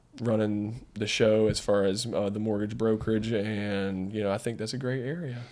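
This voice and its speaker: A man with a North Carolina accent speaks at a fairly low pitch with fairly even intonation. He leaves hardly any pauses, and audible room echo surrounds him. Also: moderate pace. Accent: Randolph County North Carolina. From US South, North Carolina, Randolph County. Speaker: mortgage business owner. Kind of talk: podcast interview.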